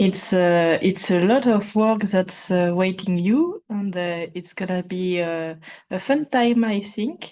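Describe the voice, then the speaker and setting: In a French accent, a woman speaks at a very slow pace with a dark, mellow tone and medium pitch. Her pitch variation is ordinary, and the background is quiet. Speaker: participant. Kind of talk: casual chat. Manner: halting.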